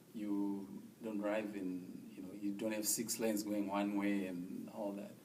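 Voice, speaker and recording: Audible room echo surrounds a man with an American accent who speaks fairly slowly at a fairly low pitch, with monotone, flat intonation. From Zimbabwe. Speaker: refugee resettled in the US. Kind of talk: interview testimony.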